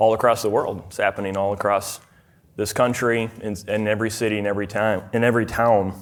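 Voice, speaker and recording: Very fast and in a monotone, flat intonation, a man speaks with a Minnesotan accent. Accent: Minnesota. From US Midwest, rural southern Minnesota. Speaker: speaker at a fatherhood conference, farmer and former software developer. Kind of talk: conference talk. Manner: hesitant, many fillers and restarts.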